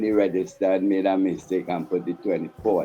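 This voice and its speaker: A man speaks with music in the background. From Trinidad, Tunapuna. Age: 60s. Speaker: Rastafarian priest. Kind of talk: interview testimony.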